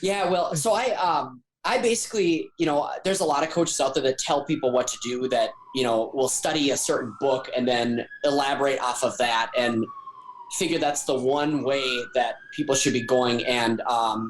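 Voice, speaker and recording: Over noticeable background noise, a man speaks at a fairly high pitch with very even loudness. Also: ordinary pitch variation, moderate pace. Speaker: life coach. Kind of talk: casual chat.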